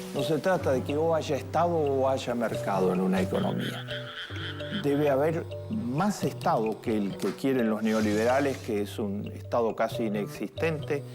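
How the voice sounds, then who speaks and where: A man talks fairly slowly at a medium pitch with very even loudness. Music plays in the background. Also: lively intonation. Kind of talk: interview answer, expert commentary.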